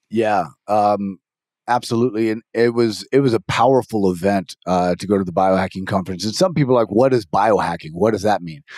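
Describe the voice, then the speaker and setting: A man talks at a fairly quick pace in an animated tone with ordinary pitch variation. The sound is dry and close with no echo, in a very clean recording with a silent background. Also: fairly low pitch for a man. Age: 50s. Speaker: podcast host. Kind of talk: casual conversation.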